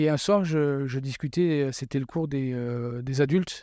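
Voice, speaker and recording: Against a quiet background, a man with a dark, mellow tone speaks fairly high in pitch with ordinary pitch variation. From southern France. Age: 40s. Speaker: former police officer, expatriate father. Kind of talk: casual interview chat.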